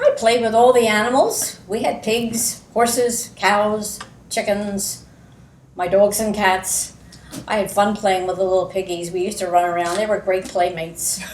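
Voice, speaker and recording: Audible room echo surrounds a voice with an American accent, delivered at a moderate pace with fairly even intonation. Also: woman, medium pitch for a woman. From US Northeast, Pennsylvania. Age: 80s+. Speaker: local resident, oral history interviewee. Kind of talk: oral history interview.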